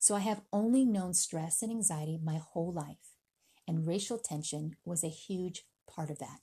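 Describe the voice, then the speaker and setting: A woman's fairly low, somewhat breathy voice with a dark, mellow tone, ordinary pitch variation and a moderate pace against a quiet background. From US, born in the Philippines, raised in America. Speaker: podcast host. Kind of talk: solo podcast monologue.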